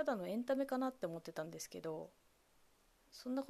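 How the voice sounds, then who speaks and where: Her intonation lively, a woman speaks. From Japan, Kamogawa, Chiba. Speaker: solo podcast host. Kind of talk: solo podcast monologue. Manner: halting, many fillers.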